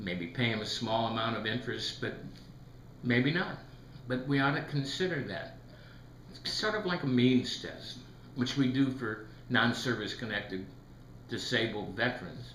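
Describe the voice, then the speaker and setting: Amid noticeable background noise and audible room echo, a man speaks at a medium pitch and moderate pace, with ordinary pitch variation and long, frequent pauses. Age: 70s. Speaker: retired federal employee commenting on economics. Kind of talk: video commentary monologue.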